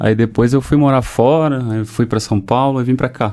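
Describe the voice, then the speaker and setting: Speaking at a fairly slow pace, the man has a medium pitch, a dark, mellow tone and ordinary pitch variation. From Rio de Janeiro, Brazil. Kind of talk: casual, conversational.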